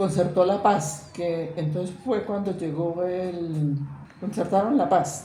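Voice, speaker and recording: A woman with a fairly low pitch at a very slow pace, amid noticeable background noise and audible room echo. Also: ordinary pitch variation. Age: 80s+. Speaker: witness of armed conflict. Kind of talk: testimony. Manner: halting.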